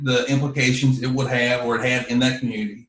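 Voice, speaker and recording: A man of medium pitch speaks with a North Carolina accent. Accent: US Southern (North Carolina). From North Carolina, Yadkin County. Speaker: car dealership owner and promoter. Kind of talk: casual interview chat. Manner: soft-spoken, low-key.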